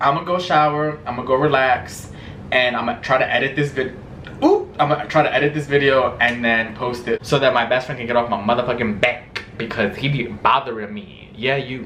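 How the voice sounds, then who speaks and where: With noticeable background noise behind him, a man talks at a medium pitch. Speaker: vlogger. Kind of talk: casual vlog chat. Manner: animated.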